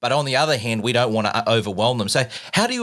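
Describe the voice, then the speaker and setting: A man speaks at a medium pitch with a bright, sharp tone, an Australian accent and ordinary pitch variation, in a very clean recording with a silent background. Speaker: podcast host. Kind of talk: interview.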